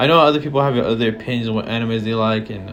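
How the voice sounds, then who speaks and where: A man with an American accent speaks at a medium pitch and with fairly even intonation, with noticeable background noise and audible room echo. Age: 20s. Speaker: vlogger. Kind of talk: casual monologue. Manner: halting.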